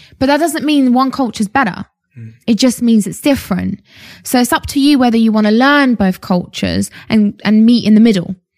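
A somewhat breathy woman at a fairly quick pace, fairly high in pitch with ordinary pitch variation, in a dry, close, echo-free recording that is very clean with a silent background. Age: 20s. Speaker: fitness entrepreneur. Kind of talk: casual interview. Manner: animated.

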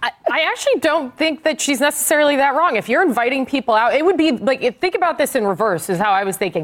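Very fast pace with hardly any pauses, very even loudness, very wide pitch swings and noticeable background noise. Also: woman, high pitch for a woman. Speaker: communications expert. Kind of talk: political panel discussion.

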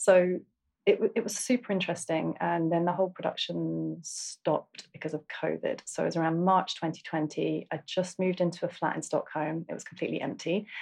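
Recorded very clean against a silent background, a woman with an Essex accent talks at a moderate pace. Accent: southern English (Essex). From Essex, England. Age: 40s. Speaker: single mother, therapy podcast guest. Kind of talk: therapy session. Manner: halting, many fillers.

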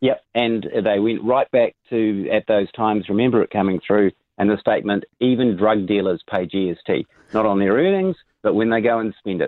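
A man with a New Zealand accent, fairly low in pitch, with fairly even intonation and very even loudness. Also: moderate pace. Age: 50s. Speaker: tax specialist. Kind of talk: radio interview. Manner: hesitant, many ums.

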